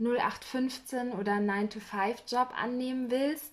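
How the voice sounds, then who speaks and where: A woman's voice with fairly even intonation. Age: 20s. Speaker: podcast host. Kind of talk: casual interview.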